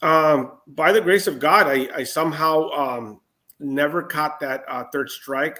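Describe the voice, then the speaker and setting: A man speaks in a bright, sharp tone. The recording is very clean, with a silent background. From US West Coast, San Diego County. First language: Spanish. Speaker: former federal prisoner. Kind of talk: interview. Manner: halting, many fillers.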